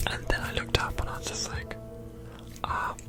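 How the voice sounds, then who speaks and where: A woman whispers at a fairly quick pace. Music plays in the background. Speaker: ASMR creator. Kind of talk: ghost story told in ASMR. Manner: whispered.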